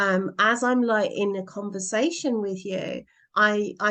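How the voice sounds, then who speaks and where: Her medium-pitched, unremarkable speaking voice keeps a fairly even intonation as this woman talks. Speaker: relationship podcast co-host. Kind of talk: casual conversation.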